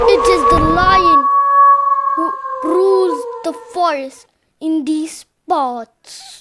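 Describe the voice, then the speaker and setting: Over music in the background, a put-on character voice moves at a very slow pace with long, frequent pauses. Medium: read story.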